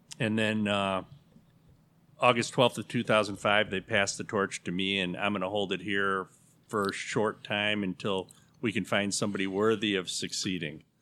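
On a very clean recording with a silent background, a man with an American accent and a bright, sharp tone speaks at a moderate pace in a fairly low pitch, his intonation flat and monotone. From Chicago area, River Forest. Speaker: neighborhood association president. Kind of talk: casual chat.

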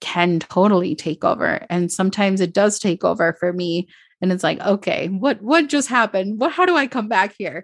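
Over a quiet background, a woman with an Upper Midwest accent speaks at medium pitch and a moderate pace with lively intonation and hardly any pauses, the sound dry and close with no echo. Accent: American (Upper Midwest). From Minnesota suburbs, US, Colombian immigrant family. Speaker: mentor and podcaster. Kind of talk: casual interview chat. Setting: remote call.

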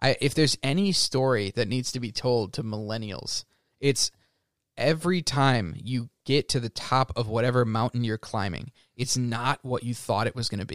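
This is a man with an ordinary speaking voice at medium pitch and a moderate pace, with ordinary pitch variation. The recording is very clean with a silent background, and the sound is dry and close with no echo. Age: 20s. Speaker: podcast co-host and English teacher. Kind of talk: casual chat.

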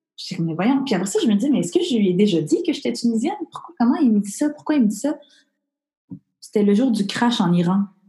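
A woman's somewhat breathy, dark and mellow voice, fairly high in pitch, with very wide pitch swings at a very fast pace. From Montreal, Quebec. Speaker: comedian, former journalist. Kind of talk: casual interview.

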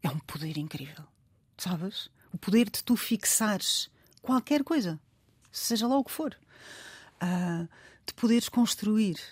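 On a very clean recording with a silent background and a dry, close sound with no echo, a somewhat breathy woman speaks at a fairly slow pace with very wide pitch swings, big swings in loudness, and long, frequent pauses. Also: medium pitch for a woman. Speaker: writer. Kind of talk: interview.

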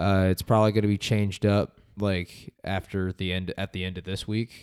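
With a dry, close sound and no echo, a man speaks at a moderate pace in a plain, everyday voice, pitched fairly low. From Las Vegas, US. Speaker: car dealership photographer. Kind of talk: casual chat.

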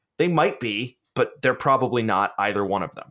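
With an American accent and lively intonation, a man talks at medium pitch in a plain, everyday voice, on a very clean recording with a silent background. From US South, Georgia. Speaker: teacher and podcaster. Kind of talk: casual interview conversation.

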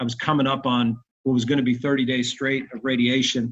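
A man with an American accent, medium pitch, and monotone, flat intonation. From New Jersey, Bayonne. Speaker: entrepreneur and man of faith. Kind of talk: testimony. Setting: remote call from home. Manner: fast.

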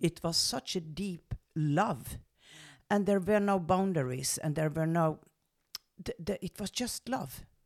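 A woman with a Norwegian accent talks at a fairly slow pace and a fairly low pitch. Her pitch varies in an ordinary way, broken by long, frequent pauses. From western Norway. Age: 70s. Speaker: medium and spiritual coach. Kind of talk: personal life story.

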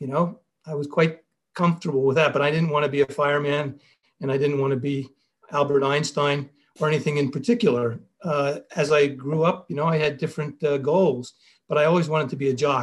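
A man at a fairly quick pace, fairly high-pitched, with fairly even intonation and a Philadelphia accent. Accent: American, Philadelphia. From US, Philadelphia. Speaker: business school professor. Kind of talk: interview.

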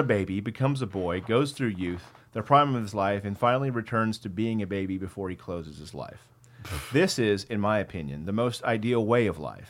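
A man speaks in a plain, everyday voice. His intonation is lively and his pace fairly quick. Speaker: podcast co-host. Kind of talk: casual chat, profane banter.

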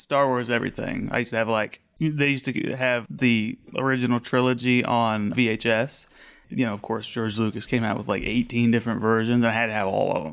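With an American accent, a man talks at a fairly quick pace in an ordinary speaking voice, keeping his intonation fairly even and hardly pausing. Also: medium pitch for a man. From Colorado eastern plains. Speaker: library security monitor. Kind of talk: casual chat.

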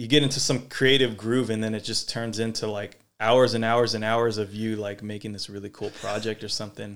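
Here a man has an ordinary speaking voice, talking at a moderate pace in a medium pitch. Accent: American. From Sacramento, California, US. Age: 30s. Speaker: podcast host, breakdancer. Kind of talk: casual interview chat.

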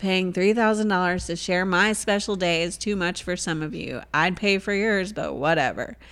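On a very clean recording against a silent background, a female speaker goes at a moderate speed. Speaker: podcast co-host. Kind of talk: casual chat. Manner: animated.

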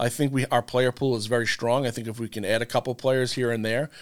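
Recorded very cleanly against a silent background, a man with an American accent speaks at a medium pitch with fairly even intonation. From Long Island, New York.

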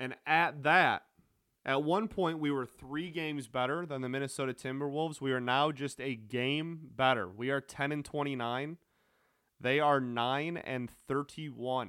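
On a very clean recording with a silent background, a man with a medium pitch speaks at a moderate pace in an animated, bright, sharp tone with ordinary pitch variation. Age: 20s. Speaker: sports podcast host. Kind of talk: casual sports talk monologue.

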